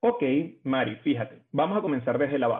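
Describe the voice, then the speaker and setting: Very wide pitch swings at a moderate pace. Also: man. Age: 20s. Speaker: HR recruiter. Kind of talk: interview. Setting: podcast recording.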